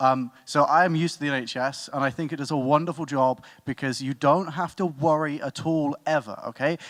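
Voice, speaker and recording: Very clean recording, silent background. A man with a British accent talks at a fairly high pitch with fairly even intonation and hardly any pauses. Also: fairly quick pace. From Britain. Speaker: student debater. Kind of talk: competitive debate speech.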